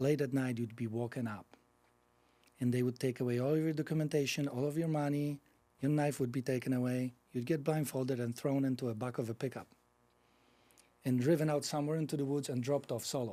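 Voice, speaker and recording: With a Polish accent and a dark, mellow tone, a man speaks at a very fast pace with long, frequent pauses, medium pitch and fairly even intonation, in a very clean recording with a silent background. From Poland. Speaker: nonprofit executive director. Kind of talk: podcast interview, personal story.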